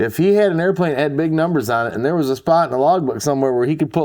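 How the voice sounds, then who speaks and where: Speaking very fast with a dark, mellow tone, this voice has an Upper Midwest accent and a quiet background. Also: man. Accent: Upper Midwest American. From Michigan, US Midwest. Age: 50s. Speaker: interviewee, childhood airport regular. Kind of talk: casual interview.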